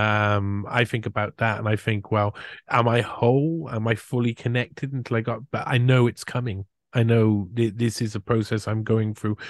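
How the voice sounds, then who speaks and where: A man with a British accent speaks at a moderate pace and medium pitch, his intonation fairly even, with a dry, close sound and no echo. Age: 40s. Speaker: podcast host. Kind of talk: casual interview chat.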